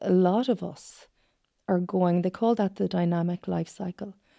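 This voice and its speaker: In a west of Ireland accent, a woman speaks at a moderate pace against a quiet background. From Achill Island, County Mayo, Ireland. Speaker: psychotherapist. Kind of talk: interview.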